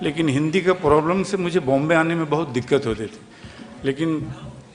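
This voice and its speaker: Speaking with a Bengali accent, a man uses a fairly high pitch and ordinary pitch variation. Noticeable background noise can be heard. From West Bengal (Kolkata). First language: Bengali (speaking Hindi). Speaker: film actor. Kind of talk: speech at event.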